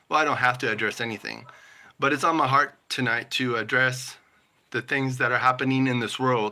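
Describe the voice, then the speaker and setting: Fairly even in intonation, a man with an American accent speaks in a bright, sharp tone. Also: medium pitch for a man, fairly quick pace. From US West Coast, Southern California. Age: 40s. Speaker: YouTuber live streamer. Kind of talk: live stream chat. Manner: halting.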